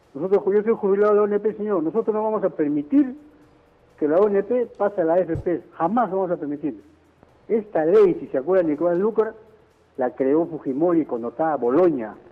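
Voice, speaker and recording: With music playing behind him, a man speaks fairly quickly in a high pitch with lively intonation. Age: 70s. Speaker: retiree, radio caller. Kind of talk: call-in complaint. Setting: phone call.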